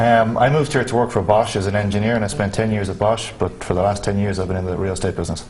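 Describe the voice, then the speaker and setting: Noticeable background noise sits behind a man with a fairly low pitch. He goes at a very fast pace with hardly any pauses. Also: ordinary pitch variation. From Ireland, Dublin. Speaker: real estate agent. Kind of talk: interview.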